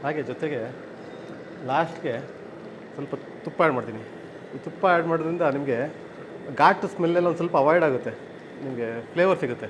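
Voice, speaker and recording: Noticeable background noise runs under the recording. The man's voice sits at a fairly high pitch. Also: ordinary pitch variation. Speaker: restaurant cook. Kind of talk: cooking demonstration.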